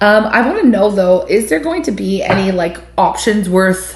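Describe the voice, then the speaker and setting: Fairly slow, animated speech from a woman at medium pitch, lively in intonation, with audible room echo and noticeable background noise. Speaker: tarot reader. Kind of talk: tarot reading monologue.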